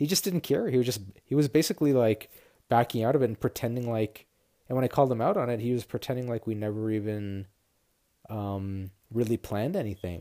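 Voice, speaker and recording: On a very clean recording with a silent background, a man with a Canadian accent speaks at a fairly quick pace, his dark, mellow tone sitting at a medium pitch with ordinary variation. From Ottawa, Canada. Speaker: podcast host. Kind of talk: casual monologue. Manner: rambling.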